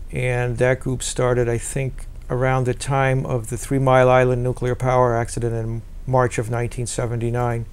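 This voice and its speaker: Flat, monotone intonation comes through in an American accent. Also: man, medium pitch for a man, moderate pace. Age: 60s. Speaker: peace activist. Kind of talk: interview. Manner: halting.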